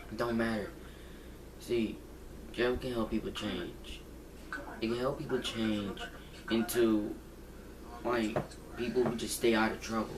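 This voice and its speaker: A man at medium pitch talks fairly slowly in a monotone, flat intonation, with long, frequent pauses. Audible room echo and noticeable background noise surround him. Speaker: gaming channel vlogger. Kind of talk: casual vlog monologue. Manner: halting, repetitive.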